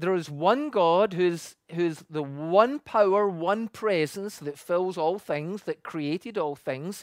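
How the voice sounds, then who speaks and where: Someone with a Scottish accent speaks at a very slow pace with hardly any pauses, against a quiet background. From Scotland. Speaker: pastor. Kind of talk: sermon.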